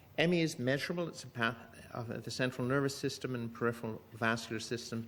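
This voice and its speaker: With audible room echo around him, a man speaks very fast at medium pitch with ordinary pitch variation. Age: 70s. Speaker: physician. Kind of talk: conference lecture.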